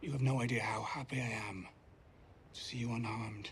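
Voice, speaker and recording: A raspy, put-on character voice from a man at a medium pitch, fairly quick and fairly even in intonation, with clear background noise. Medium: short film. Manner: soft-spoken, measured, ingratiating.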